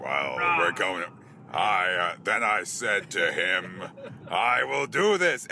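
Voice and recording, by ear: A man does a put-on character voice that is raspy and gravelly, at a very slow pace with long, frequent pauses and very even loudness. Clear background noise is present.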